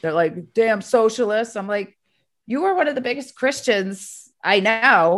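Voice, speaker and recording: A woman with an unremarkable speaking voice talks at a fairly slow pace with lively intonation. Her pitch is fairly high, and the background is quiet. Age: 50s. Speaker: podcast host, therapist. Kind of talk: casual chat.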